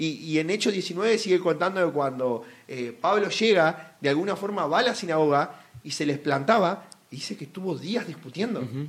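The speaker moves at a moderate pace. The intonation is lively. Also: man, high pitch for a man. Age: 20s. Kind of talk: casual Bible discussion.

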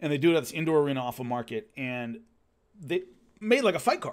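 Over a silent background in a very clean recording, a man talks very fast. His pitch is fairly high and his intonation lively. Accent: Southern California. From Los Angeles. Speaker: former fighter and martial arts show host. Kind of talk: casual storytelling monologue. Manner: conversational, with fillers and repetitions.

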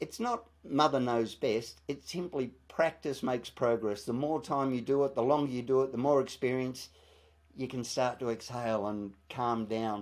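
Moderate pace and fairly even intonation in an Australian accent. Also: man, medium pitch for a man. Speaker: TV presenter and author. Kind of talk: interview.

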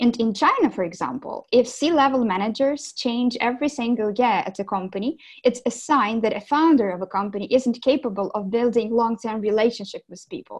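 A fairly high-pitched woman with a Ukrainian accent, at a fairly quick pace with hardly any pauses and big swings in loudness. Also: ordinary pitch variation, quiet background. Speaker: business development director. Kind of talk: interview.

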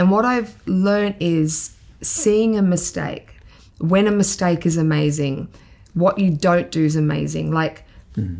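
An Australian accent comes through, with ordinary pitch variation. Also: woman, fairly low pitch for a woman, very even loudness. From Queensland, Australia. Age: 50s. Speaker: makeup artist. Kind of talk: interview.

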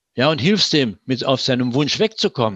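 A fairly high-pitched man with very wide pitch swings, dry and close with no echo against a quiet background. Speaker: preventive medicine physician. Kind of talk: interview. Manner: hesitant fillers.

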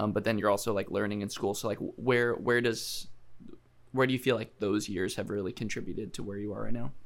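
Talking at a very fast pace, a man with a fairly low pitch and vocal fry keeps his intonation fairly even. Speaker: podcast host. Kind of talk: casual interview.

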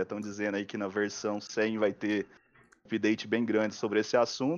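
Moderate pace and fairly low pitch from a man with an unremarkable speaking voice. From Goiás, Brazil. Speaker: augmented reality filter creator, YouTuber. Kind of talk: live stream interview.

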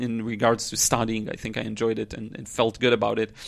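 A man is speaking. His pace is fairly quick. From Israel. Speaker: podcaster and watercolor teacher. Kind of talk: solo monologue podcast. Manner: casual, frequent laughs and fillers.

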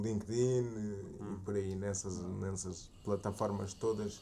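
With a European Portuguese accent, a man speaks in a fairly low, dark, mellow tone and monotone, flat intonation amid audible room echo. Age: 20s. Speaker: podcast co-host. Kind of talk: casual chat.

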